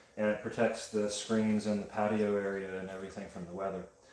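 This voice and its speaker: A man with a fairly low pitch talks at a fairly quick clip in a monotone, flat delivery, with audible room echo and noticeable background noise behind him. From Wyoming. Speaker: pottery livestreamer. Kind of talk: casual chat.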